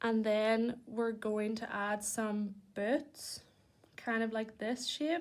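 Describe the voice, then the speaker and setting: A woman with a Northern Irish accent speaks very slowly in a fairly high voice. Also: ordinary pitch variation. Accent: Northern Irish (Belfast). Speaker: children's church presenter. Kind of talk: drawing tutorial for children.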